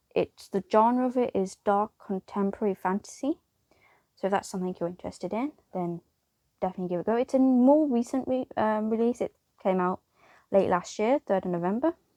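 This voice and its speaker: With a British accent, a woman speaks fairly quickly in a fairly high voice with a dark, mellow tone. Her pitch varies in an ordinary way, and the sound is dry and close with no echo. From United Kingdom. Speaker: book reviewer. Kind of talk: casual video review. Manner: hesitant, with fillers and restarts.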